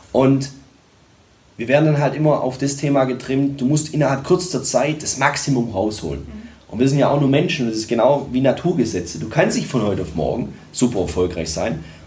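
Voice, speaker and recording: Words come at a fairly quick clip. The room echo is audible, and background noise is noticeable. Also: man, medium pitch for a man, lively intonation. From Germany, Tübingen (Swabia). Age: 30s. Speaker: sales and communication coach, entrepreneur. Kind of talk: interview. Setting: studio.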